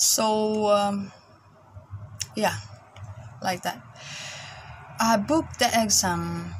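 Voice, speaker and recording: Speaking in a Filipino accent, this voice moves at a very slow pace with long, frequent pauses. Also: woman. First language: Tagalog. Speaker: vlogger, caregiver working abroad. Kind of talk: casual vlog monologue. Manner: halting, repeats words.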